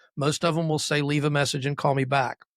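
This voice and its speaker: Dry and close with no echo, the sound comes from a very clean recording over a silent background. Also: man. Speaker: real estate agent. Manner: trained public speaker.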